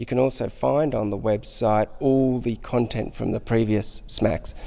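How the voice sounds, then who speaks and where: Male voice at medium pitch with an Australian accent, fairly slow pace. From Australia, Sydney. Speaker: intensive care doctor. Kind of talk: interview.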